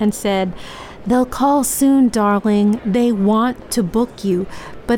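The speaker uses a natural reading voice. Every line is delivered that way.

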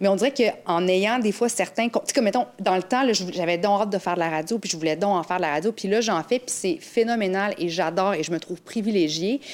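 A woman speaks in a normal speaking voice at medium pitch. Her pace is fairly quick, with ordinary pitch variation. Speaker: radio weather presenter. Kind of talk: casual chat.

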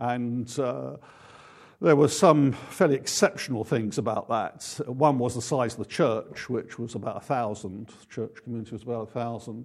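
A man with an English accent and ordinary pitch variation, in a very clean recording with a silent background. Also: medium pitch for a man, moderate pace. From England. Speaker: pastor. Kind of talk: sermon. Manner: halting.

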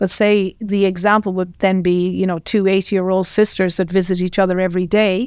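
On a very clean recording with a silent background, a woman with an Irish accent speaks at a moderate pace and medium pitch in a monotone with flat intonation. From Ireland, County Tipperary. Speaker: retired professor and scientist. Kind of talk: interview.

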